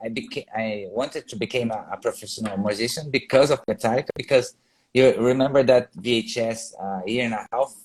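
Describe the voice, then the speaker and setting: Speaking at a fairly quick pace, a man with a Brazilian accent uses a medium pitch with ordinary pitch variation in a dry, close sound with no echo. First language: Portuguese. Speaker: metal guitarist. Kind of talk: casual interview. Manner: halting.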